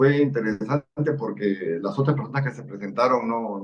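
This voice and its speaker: A man at a medium pitch and moderate pace, with ordinary pitch variation. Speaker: parliamentary civil servant. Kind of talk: interview. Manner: calm.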